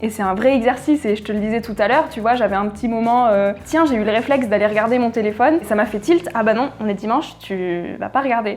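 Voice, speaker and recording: A woman's fairly high voice at a very fast pace, with ordinary pitch variation, hardly any pauses and noticeable background noise. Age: 20s. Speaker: podcast creator. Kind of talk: casual interview. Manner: hesitant fillers (euh).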